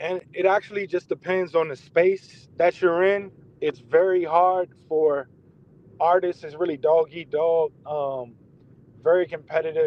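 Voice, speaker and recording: In a DMV accent, a man talks at a fairly slow pace with a high pitch. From Maryland, DMV area. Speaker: entrepreneur, artist. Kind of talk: casual interview chat. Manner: halting, many fillers.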